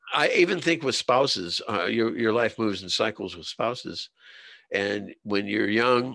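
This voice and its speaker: Over a quiet background, a man speaks at a moderate pace in a bright, sharp tone with ordinary pitch variation. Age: 70s. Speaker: Vietnam war veteran and writer. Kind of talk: casual interview chat. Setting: interview on a show.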